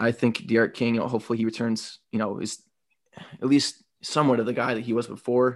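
The speaker has an American accent and a fairly even intonation. The pace is fairly quick against a quiet background. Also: man, medium pitch for a man. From Toledo, Ohio. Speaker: podcast co-host, college football fan. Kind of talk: casual chat. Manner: hesitant, many filler words.

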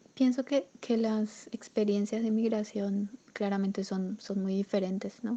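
Speaking at a fairly slow pace, a woman uses a medium pitch and a dark, mellow tone with monotone, flat intonation. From Paraguay, Asunción. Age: 20s. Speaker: migrant sharing her story. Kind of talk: personal testimony interview. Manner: halting, repeats words.

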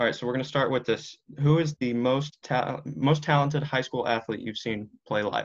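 In an American accent, a man talks at a moderate pace with hardly any pauses, using a normal speaking voice at a medium pitch with ordinary pitch variation. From Washington DC area. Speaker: podcast host. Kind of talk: interview; scripted outro.

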